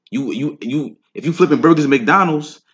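A man talks at a very fast pace. He has a New York accent. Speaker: rapper. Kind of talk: casual interview chat.

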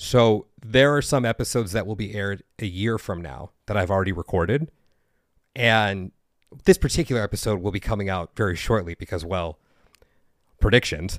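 An ordinary speaking voice at a moderate pace, with ordinary pitch variation. The recording is very clean with a silent background, its sound dry and close with no echo. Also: man, fairly low pitch for a man. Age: 30s. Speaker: podcast host, past life regressionist. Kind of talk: casual chat.

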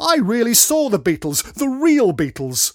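The speaker uses a put-on character voice with big pitch swings. The pace is fairly slow. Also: man, extremely high pitch for a man.

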